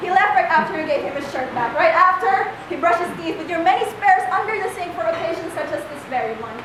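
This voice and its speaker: Her pitch extremely high, a woman talks fairly quickly over noticeable background noise. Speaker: slam poet. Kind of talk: slam poetry performance. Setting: live performance in a cafe. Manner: fierce, alluring.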